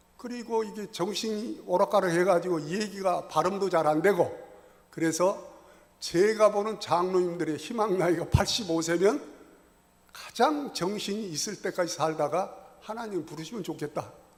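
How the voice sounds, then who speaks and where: Noticeable background noise surrounds a man speaking at a moderate pace. His pitch is high, with ordinary variation. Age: 70s. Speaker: church elder giving Bible lecture. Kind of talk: Bible lecture. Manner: conversational, colloquial.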